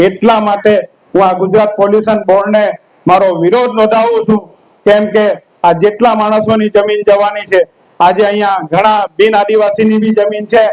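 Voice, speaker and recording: A man talks in a high pitch with monotone, flat intonation. His loudness stays very even. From Jhagadia, Bharuch, Gujarat, India. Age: 40s. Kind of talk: public hearing speech. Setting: public hearing with crowd. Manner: impassioned.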